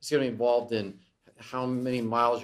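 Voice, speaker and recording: The speaker is a man. His background is quiet. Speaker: economics lecturer. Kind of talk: lecture. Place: classroom.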